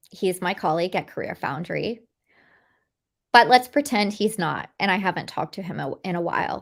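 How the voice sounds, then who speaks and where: Speaking at a fairly quick pace, a woman uses lively intonation at a medium pitch. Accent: American. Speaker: career coach. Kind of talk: webinar presentation. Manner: fast.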